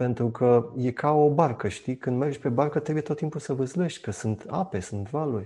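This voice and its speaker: At a moderate pace, a man with a medium pitch and a dark, mellow tone sounds somewhat breathy, with ordinary pitch variation and a quiet background. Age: 50s. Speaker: university lecturer and journalist. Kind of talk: casual chat.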